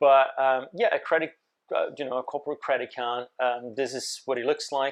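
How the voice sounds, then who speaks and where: The background stays quiet. A man talks at a moderate speed. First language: Portuguese. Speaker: YouTuber covering startup stories. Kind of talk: casual video commentary. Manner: many fillers, hesitant.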